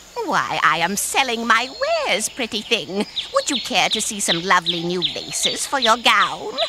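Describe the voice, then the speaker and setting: This put-on character voice sounds female, with a fairly high pitch and a moderate pace. Clear background noise runs underneath it. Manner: sweetly sinister, wheedling.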